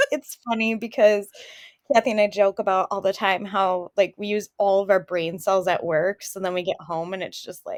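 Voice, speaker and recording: At a moderate pace and medium pitch, a woman speaks with a Midwestern accent and fairly even intonation. Her loudness swings widely, and the sound is dry and close with no echo. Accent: Midwest. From US Midwest. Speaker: podcast co-host. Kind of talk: casual chat.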